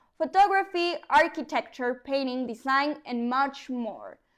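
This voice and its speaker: In a Mexican accent, a woman talks at a moderate pace with a high pitch and ordinary pitch variation. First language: Spanish. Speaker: news presenter. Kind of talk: news reading.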